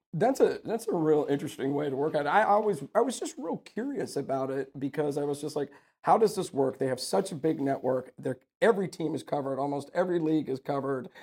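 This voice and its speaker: The man's voice sits fairly high, with ordinary pitch variation, and he speaks at a very fast pace. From Houston area, Texas (Sugar Land). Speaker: podcast host and lawyer. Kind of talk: casual interview chat.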